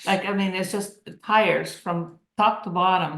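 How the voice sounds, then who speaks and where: Audible room echo comes through as a woman speaks at a medium pitch. Her pitch varies in an ordinary way. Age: 70s. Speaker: cancer survivor. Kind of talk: casual chat.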